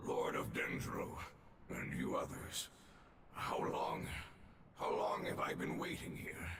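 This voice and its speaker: In a raspy, put-on character voice, a man speaks at a fairly slow pace with long, frequent pauses, with clear echo and loud background noise. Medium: video game. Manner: solemn.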